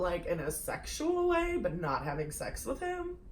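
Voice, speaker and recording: A woman speaks at a fairly slow pace, her pitch swinging very widely. The room echo is audible and there is noticeable background noise. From Russia. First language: Russian. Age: young. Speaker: YouTuber. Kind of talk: casual chat.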